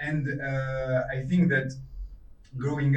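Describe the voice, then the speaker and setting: Someone with a non-native accent speaks at a very slow pace, with audible room echo. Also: man. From Tunisia. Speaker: film director. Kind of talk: Q&A interview. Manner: halting.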